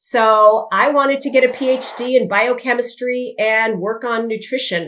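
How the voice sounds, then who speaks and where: With an American accent, a woman speaks at a high pitch. Her pitch variation is ordinary and her pace moderate. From California. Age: 60s. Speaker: dermatologist. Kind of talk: interview.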